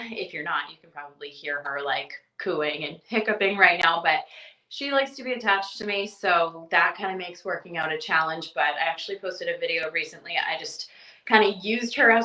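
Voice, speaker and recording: In a Canadian accent, a woman talks with a normal speaking voice at a medium pitch. Her pace is moderate, with lively intonation and big swings in loudness. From Eastern Canada. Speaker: mom blogger. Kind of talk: podcast interview answer. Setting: home, baby cooing in background. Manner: casual, chatty.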